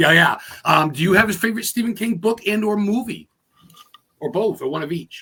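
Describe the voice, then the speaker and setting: A man speaks in a raised, projected voice with a high pitch and a bright, sharp tone. His fairly quick pace is broken by long, frequent pauses. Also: ordinary pitch variation. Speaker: podcast host. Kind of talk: casual interview. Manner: fast, high-energy.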